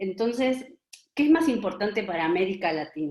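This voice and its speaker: A woman in a Uruguayan accent at a moderate pace, with ordinary pitch variation. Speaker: moderator. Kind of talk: interview question.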